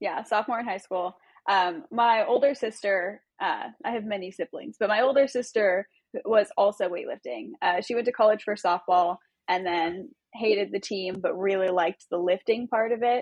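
Heard here is a plain, everyday voice at a moderate pace with ordinary pitch variation. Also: woman, medium pitch for a woman. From Southern California, Long Beach. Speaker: weightlifting coach. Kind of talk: casual interview.

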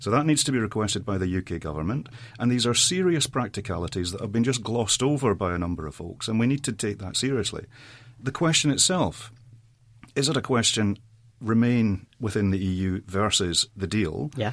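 Over a silent background in a very clean recording, a man with a Scottish accent talks fairly quickly at a fairly low pitch with lively intonation. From Saudi Arabia, expatriate Scottish family. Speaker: politician. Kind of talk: panel discussion.

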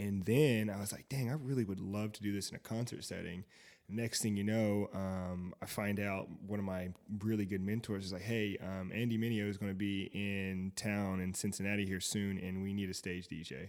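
Fairly even intonation and a moderate pace mark an unremarkable speaking voice in an American accent. The background is silent and the recording very clean. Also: man, fairly low pitch for a man. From US South, Fayetteville, North Carolina. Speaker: tech entrepreneur and DJ. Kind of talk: casual chat.

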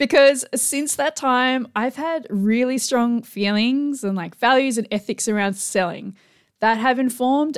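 A high-pitched woman with an Australian accent at a moderate pace, ordinary pitch variation, and a very clean recording with a silent background. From Tasmania, Australia. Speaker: business coach and podcast host. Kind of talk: solo podcast monologue. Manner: casual, conversational with fillers.

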